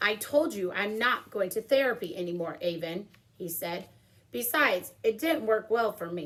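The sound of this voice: The reading is done in an unforced reading voice.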